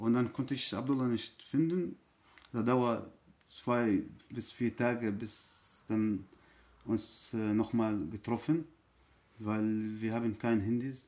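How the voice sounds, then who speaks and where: With an Arabic accent, the speaker talks at a very slow pace with long, frequent pauses and fairly even intonation. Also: man, medium pitch for a man. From Syria. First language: Arabic (speaking German). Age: 30s. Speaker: refugee. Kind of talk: testimony. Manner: halting.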